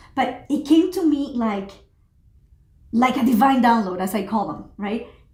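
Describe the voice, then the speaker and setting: In a Spanish accent, a woman with a high pitch speaks at a fairly slow pace in an animated tone with lively intonation, with audible room echo around her. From Mexico. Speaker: social entrepreneur and pilot. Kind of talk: interview.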